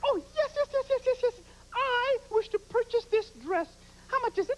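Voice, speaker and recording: A put-on character voice, female-sounding, squeaky and extremely high in pitch. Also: moderate pace. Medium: comedy sketch. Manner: grand, affected, pushy.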